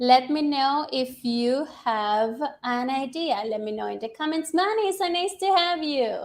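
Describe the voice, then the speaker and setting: With a non-native accent, a woman speaks in a high voice at a fairly slow pace, with lively intonation and hardly any pauses. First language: not English. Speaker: English teacher. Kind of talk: live-stream tutorial. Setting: live stream on social media. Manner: casual, filler-heavy.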